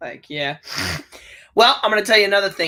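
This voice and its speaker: A man projects his high-pitched voice in a raised tone that sounds bright and sharp. The recording is very clean, with a silent background. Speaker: co-host of movie discussion. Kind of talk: casual chat. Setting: live stream. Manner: loud.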